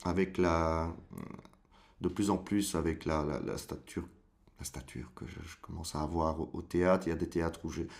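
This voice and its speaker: This man talks at a moderate pace. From Brussels, Belgium. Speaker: stage actor. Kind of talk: interview answer.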